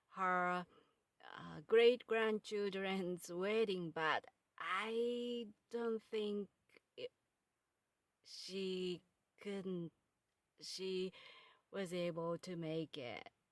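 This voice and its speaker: In a Japanese accent, a woman speaks at a very slow pace with long, frequent pauses, ordinary pitch variation and big swings in loudness, the sound dry and close with no echo. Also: medium pitch for a woman. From Japan, Kyoto. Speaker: podcast host and author. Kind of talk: casual monologue. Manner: halting.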